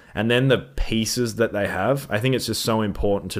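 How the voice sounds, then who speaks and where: Speaking at a moderate pace with ordinary pitch variation, a man is recorded very cleanly against a silent background. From Australia. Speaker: sports podcast co-host. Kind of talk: casual sports chat. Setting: studio. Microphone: new microphone setup.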